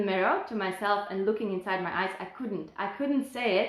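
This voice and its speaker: A woman talks at a fairly high pitch with ordinary pitch variation. There is audible echo in the room. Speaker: health and fitness coach. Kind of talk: personal testimony on a live stream.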